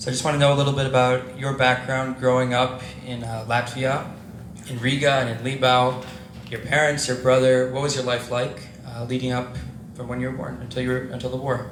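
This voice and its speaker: Amid noticeable background noise and audible room echo, a man talks at a fairly quick pace in a flat monotone. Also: medium pitch for a man. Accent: American. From New York City. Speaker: interviewer. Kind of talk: interview.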